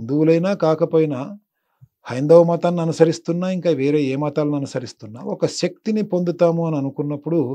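This man's voice sits high in pitch, with ordinary pitch variation. His tone is dark and mellow. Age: 50s. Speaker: spiritual teacher and motivational guru; spiritual teacher. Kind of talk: interview, explanatory talk. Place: studio. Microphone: lapel.

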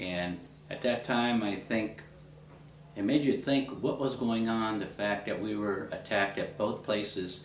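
With an American accent, a man at a fairly low pitch speaks at a fairly slow pace with ordinary pitch variation, with audible room echo and light background noise. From Ohio. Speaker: interviewee. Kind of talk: interview answer. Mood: reflective, serious. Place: home room.

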